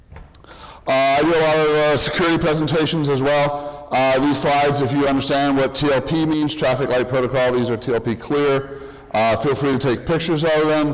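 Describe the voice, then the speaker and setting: A man with a fairly high voice speaks at a fairly quick pace in a flat monotone, his loudness very even, with noticeable background noise and audible room echo. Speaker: conference presenter. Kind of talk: conference talk.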